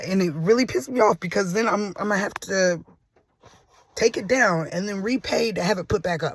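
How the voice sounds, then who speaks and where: A man talks at a moderate pace in a high pitch. His pitch variation is ordinary. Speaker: amateur musician and vlogger. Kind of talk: casual vlog monologue. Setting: in a car. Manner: halting, many fillers and restarts.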